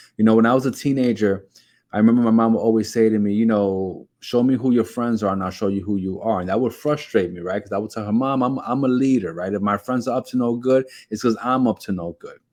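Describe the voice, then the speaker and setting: A man with a New York accent talking at a very fast pace over a quiet background. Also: medium pitch for a man. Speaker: keto diet vlogger. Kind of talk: motivational talk to camera. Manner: repetitive, with frequent fillers and restarts; animated.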